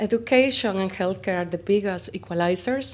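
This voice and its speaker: Audible room echo surrounds a woman of medium pitch who speaks at a moderate pace with lively intonation. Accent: Spanish. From Spain. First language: Spanish. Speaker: company founder. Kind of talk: interview. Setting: conference.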